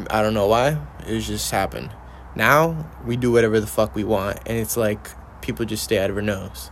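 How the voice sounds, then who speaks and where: This man has a plain, everyday voice with a fairly low pitch. He speaks at a moderate pace with lively intonation. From Mexican-American upbringing. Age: 20s. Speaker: podcast host. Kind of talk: casual chat.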